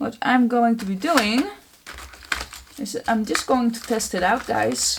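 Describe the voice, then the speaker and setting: A woman speaks very slowly with lively intonation. Background noise is noticeable throughout. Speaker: art journaling creator. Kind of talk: tutorial. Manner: casual, chatty with filler words.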